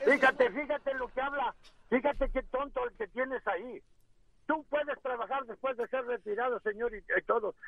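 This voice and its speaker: A man speaks at a moderate pace in an extremely high pitch. His pitch variation is ordinary. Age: 60s. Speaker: caller, retired carpenter. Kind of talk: radio call-in.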